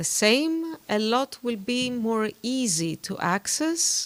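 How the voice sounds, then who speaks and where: A woman speaks with a Greek accent and lively intonation. The recording is very clean, with a silent background. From Greece. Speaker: diplomat. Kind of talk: interview. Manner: hesitant, many fillers.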